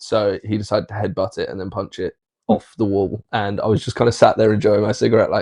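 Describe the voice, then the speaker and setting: A man with a southern English accent talks at a very fast pace. The sound is dry and close, with no echo. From southern England, Marlborough, Wiltshire. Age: 30s. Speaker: social media content creator. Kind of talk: casual chat.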